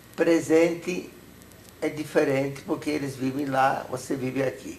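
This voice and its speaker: A man with a Hungarian accent speaks with fairly even intonation over noticeable background noise. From Hungary. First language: Hungarian (speaking Portuguese). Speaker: Holocaust survivor. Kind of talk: testimony interview.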